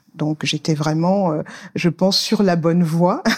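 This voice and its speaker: A somewhat breathy woman talks at a fairly slow pace with ordinary pitch variation, in a dry, close sound with no echo. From Senegal, Saint-Louis. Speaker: finance specialist. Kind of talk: interview. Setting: recorded live in Dakar.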